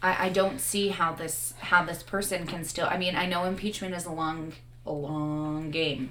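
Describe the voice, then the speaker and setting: Noticeable background noise behind a woman's fairly low voice with fairly even intonation. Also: moderate pace. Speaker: musician guest. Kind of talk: casual interview chat.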